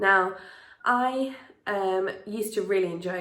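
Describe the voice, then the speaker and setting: A woman's voice with vocal fry, ordinary pitch variation, and audible room echo. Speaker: vlogger. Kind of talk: casual vlog talk.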